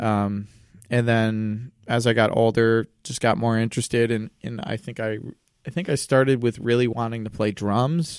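On a very clean recording with a silent background, a man uses an ordinary speaking voice at a medium pitch, moderate pace and fairly even intonation. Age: 20s. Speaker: musician. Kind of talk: casual chat.

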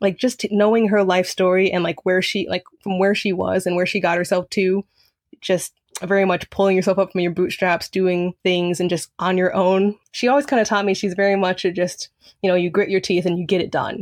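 Keeping her loudness very even, a woman talks at a fairly quick pace with a medium pitch and monotone, flat intonation. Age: young. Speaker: college student. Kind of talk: interview.

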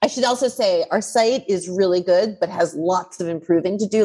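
This woman has an unremarkable speaking voice, and her intonation is lively. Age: 50s. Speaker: online community founder. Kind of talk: casual chat.

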